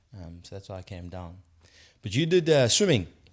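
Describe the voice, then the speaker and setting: The recording is very clean with a silent background, and a man speaks in it with ordinary pitch variation. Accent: South African. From South Africa, KwaZulu-Natal. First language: Zulu. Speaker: podcast host. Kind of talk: podcast interview. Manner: casual, conversational.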